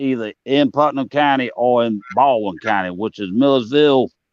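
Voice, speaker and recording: Speaking at medium pitch with ordinary pitch variation, a man with a Southern accent keeps a moderate pace. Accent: Southern, like Louisiana. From US South. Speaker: live stream participant. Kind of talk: casual chat.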